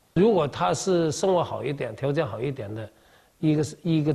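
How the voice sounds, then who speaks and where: This man's voice sounds somewhat breathy. His pitch varies in an ordinary way. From Kaiping, Jiangmen, Guangdong. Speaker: overseas Chinese community leader. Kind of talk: interview.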